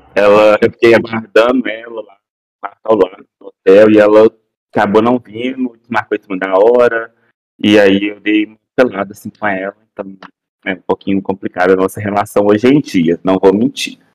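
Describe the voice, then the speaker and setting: A man with an ordinary speaking voice and a fairly low pitch talks at a moderate pace with fairly even intonation and big swings in loudness, in a dry, close sound with no echo. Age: 20s. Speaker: podcast guest. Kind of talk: casual chat.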